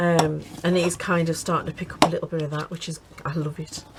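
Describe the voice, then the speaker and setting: A woman keeps a fairly quick pace while noticeable background noise continues around her. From English Midlands (Birmingham) then northeast England. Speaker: crafting YouTuber. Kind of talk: casual chat during craft tutorial.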